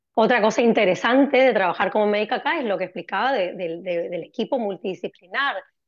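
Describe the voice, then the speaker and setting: A woman's fairly high voice at a very fast pace, with lively intonation and hardly any pauses. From Argentina, Corrientes. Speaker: cardiologist. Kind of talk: interview.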